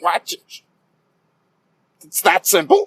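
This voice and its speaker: In a put-on character voice, a man speaks with a dry, close sound and no echo. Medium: comedy sketch. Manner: cranky, grumbling.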